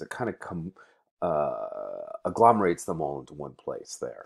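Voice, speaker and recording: A man talks at a moderate pace over a quiet background. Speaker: college librarian or instructor. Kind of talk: tutorial. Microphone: webcam.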